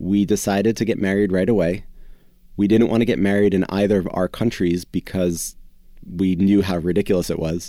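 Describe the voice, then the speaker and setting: On a very clean recording with a silent background, a man speaks at a fairly quick pace in a dark, mellow tone, his fairly low pitch held in a monotone, flat intonation and his loudness very even. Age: 40s. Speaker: naturopathic doctor and company founder. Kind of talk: casual interview.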